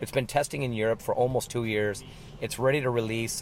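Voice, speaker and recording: A man at a medium pitch speaks with fairly even intonation over noticeable background noise. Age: 50s. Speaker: racing driver. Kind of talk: interview.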